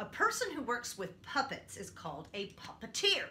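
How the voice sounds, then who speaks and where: Light background noise runs under speech delivered at a moderate pace. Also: woman. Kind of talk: tutorial demonstration. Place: home room. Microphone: camera far.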